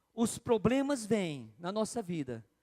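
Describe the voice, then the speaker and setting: Very slowly, a man speaks in a dark, mellow, high-pitched voice with very wide pitch swings, recorded dry and close with no echo. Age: 60s. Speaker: bishop preaching. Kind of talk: sermon. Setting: church. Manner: repetitive, conversational.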